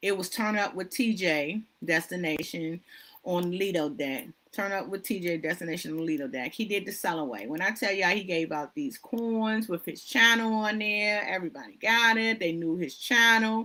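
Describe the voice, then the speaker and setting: A woman with a bright, sharp, animated tone, lively intonation, medium pitch and moderate pace. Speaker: livestream host, cruise YouTuber. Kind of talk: solo livestream chat.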